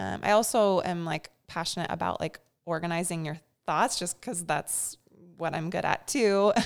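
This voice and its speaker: A woman with a fairly low pitch has an ordinary speaking voice, using ordinary pitch variation at a moderate pace. The recording is very clean, with a silent background. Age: 30s. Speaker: mother and small business owner. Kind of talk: casual interview.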